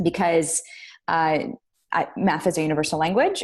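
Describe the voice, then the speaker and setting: Speaking at a moderate pace with an Arabic accent, a woman uses a fairly low pitch and fairly even intonation. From Iraq, Baghdad; moved to the US at twelve. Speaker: business leader. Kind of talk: interview. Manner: many fillers and restarts.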